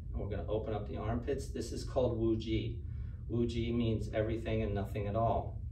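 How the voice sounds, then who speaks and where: The tone is relaxed and playful, the pace fairly quick. Noticeable background noise sits behind the voice. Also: man. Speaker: standing meditation teacher. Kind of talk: guided standing meditation, calm step-by-step instruction. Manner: relaxed, occasionally laughing and playful. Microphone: camera far.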